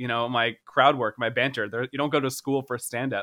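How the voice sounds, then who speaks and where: A man with an American accent speaks in a normal speaking voice at medium pitch, keeping a moderate pace and fairly even intonation. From Florida, US. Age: 30s. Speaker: stand-up comedian and former startup founder. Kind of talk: casual interview chat.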